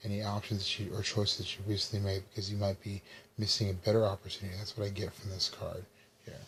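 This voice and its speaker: This soft-spoken, somewhat breathy voice moves at a very fast pace. Its intonation stays monotone and flat. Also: man. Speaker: tarot reader. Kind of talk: tarot reading.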